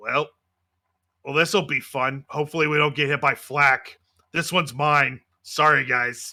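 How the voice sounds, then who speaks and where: A man's put-on character voice, raspy and fairly high, at a moderate pace with fairly even intonation, long, frequent pauses, and a very clean recording with a silent background. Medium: actual play. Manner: casual, jokey.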